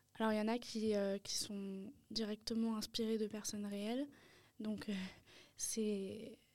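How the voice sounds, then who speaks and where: A dark, mellow tone, monotone and flat in intonation, at a fairly slow pace. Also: woman. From Paris, France. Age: 20s. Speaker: art student and painter. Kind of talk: interview. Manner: halting, many hesitations.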